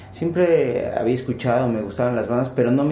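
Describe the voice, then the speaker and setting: Noticeable background noise and audible room echo surround a man whose medium-pitched voice shows ordinary pitch variation. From Mexico, Pachuca, Hidalgo. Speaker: rock band leader and musician. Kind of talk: podcast interview.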